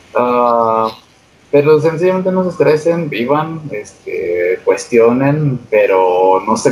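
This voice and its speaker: Very slow speech amid noticeable background noise. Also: man. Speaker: podcast co-host. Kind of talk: casual chat.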